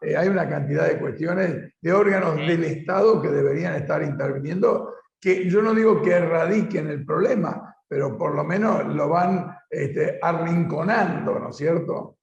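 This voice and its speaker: Audible room echo surrounds a fairly slow delivery that has hardly any pauses. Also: man. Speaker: political show host. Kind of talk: interview.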